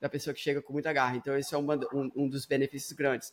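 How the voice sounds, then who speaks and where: On a very clean recording with a silent background, a man speaks in a fairly high voice. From Brazil, Espírito Santo; US from about age 8-9. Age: 30s. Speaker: startup founder and CEO. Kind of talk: casual chat. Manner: hesitant, frequent fillers and repetitions.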